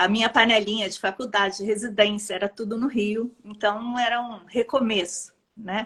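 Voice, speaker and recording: This woman talks at a moderate pace with a Rio de Janeiro accent and hardly any pauses. Her fairly high pitch stays monotone and flat. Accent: carioca. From Brazil, Rio de Janeiro. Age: 50s. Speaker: pediatrician. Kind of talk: interview.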